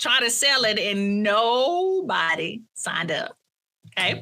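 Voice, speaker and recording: A woman with a strong Southern US accent speaks in an animated tone. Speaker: coach, former college professor. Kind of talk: interview conversation. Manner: halting.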